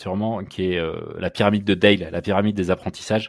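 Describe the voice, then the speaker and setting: A man's fairly low, flat, monotone voice at a very fast pace. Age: 30s. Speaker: startup co-founder. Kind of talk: interview. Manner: halting, many repetitions.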